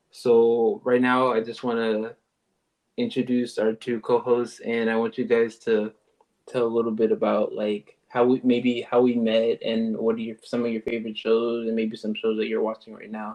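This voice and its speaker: Speaking with an American accent, a man keeps a medium pitch, a moderate pace and a monotone, flat intonation. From Texas, Houston. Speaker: podcast host. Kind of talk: casual chat. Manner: casual, many fillers.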